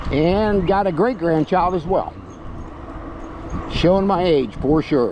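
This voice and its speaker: Over noticeable background noise, a man with a high pitch and a relaxed tone speaks at a very slow pace with long, frequent pauses, ordinary pitch variation and very even loudness. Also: dry sound with no echo. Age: 70s. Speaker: e-bike reviewer and vlogger; senior cycling vlogger. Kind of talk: casual vlog while riding; casual vlog chat. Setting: outdoors on a bike trail. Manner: relaxed, with frequent filler pauses. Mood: relaxed, chatty. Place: bicycle. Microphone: camera far.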